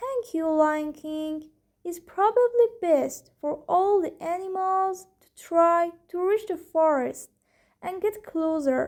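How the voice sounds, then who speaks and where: Someone delivers the lines in an invented character voice. The tempo is on the slow side. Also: female-sounding voice, extremely high pitch for a woman. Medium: read story.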